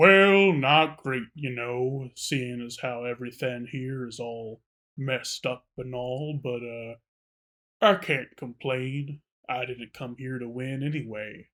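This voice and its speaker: In a very clean recording with a silent background, a man puts on a character voice at a medium pitch, with ordinary pitch variation and a fairly slow pace. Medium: actual play. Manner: laid-back, mildly courteous.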